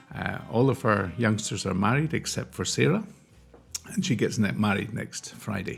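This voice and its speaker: Amid noticeable background noise, a man talks at a moderate pace and fairly low pitch with lively intonation. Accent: Scottish. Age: 60s. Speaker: charity chief executive. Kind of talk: interview. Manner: hesitant, many fillers.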